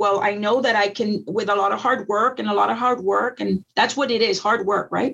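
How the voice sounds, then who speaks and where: A woman with an American accent and vocal fry, fairly high pitch, ordinary pitch variation, and a fairly quick pace. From Texas Rio Grande Valley. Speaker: school district educator. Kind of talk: interview.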